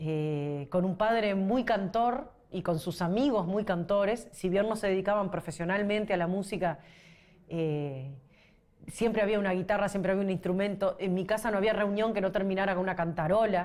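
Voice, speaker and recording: Her loudness very even, a woman with a medium pitch talks at a moderate pace with ordinary pitch variation. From Uruguay, Paysandú. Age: 40s. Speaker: singer-songwriter. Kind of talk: interview. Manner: halting.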